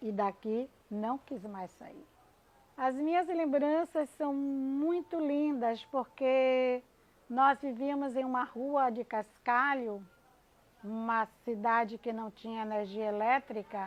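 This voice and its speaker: A woman speaks at a high pitch and a very slow pace. Her loudness swings widely. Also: ordinary pitch variation. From Brazil, Bahia (Camaçari). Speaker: teacher. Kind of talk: personal testimony.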